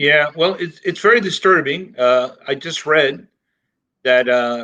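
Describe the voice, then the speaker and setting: A man speaks with a bright, sharp tone, a fairly high pitch and lively intonation. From Miami, Florida (Cuban-born). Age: 60s. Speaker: professor. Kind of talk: interview.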